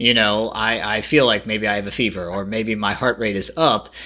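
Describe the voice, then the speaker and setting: In a bright, sharp tone, a man speaks at a moderate pace and medium pitch on a very clean recording with a silent background. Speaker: podcast host interviewer. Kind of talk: interview.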